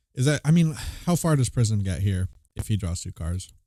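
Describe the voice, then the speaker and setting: This man's quiet voice sits fairly low in pitch, with a dark, mellow tone and very wide pitch swings. The recording is very clean, with a silent background and a dry, close sound that has no echo. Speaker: card game commentator. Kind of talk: live commentary. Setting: livestream.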